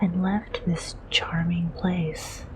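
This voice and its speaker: A soft-spoken voice talks at a very slow pace over noticeable background noise. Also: woman. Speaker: VTuber. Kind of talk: bedtime story reading.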